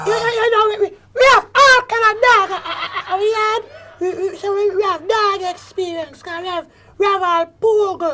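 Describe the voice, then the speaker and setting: The pitch sits extremely high. It is a woman doing a put-on character voice. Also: moderate pace. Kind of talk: broad comic sketch acting. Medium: comedy sketch. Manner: excitable, repeats "yo, yo".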